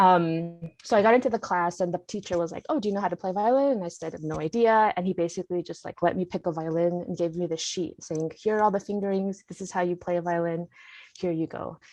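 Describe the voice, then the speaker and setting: This woman talks at a very fast pace with an American accent. Her pitch is fairly low, with ordinary variation. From US Midwest, Indiana. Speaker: composer and classical guitarist. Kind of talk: casual interview.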